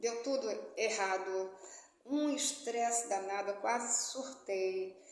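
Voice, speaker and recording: Audible room echo surrounds a woman speaking at a fairly high pitch with lively intonation. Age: 60s. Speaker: motivational YouTuber and author. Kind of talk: casual personal vlog talk. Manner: conversational, many fillers.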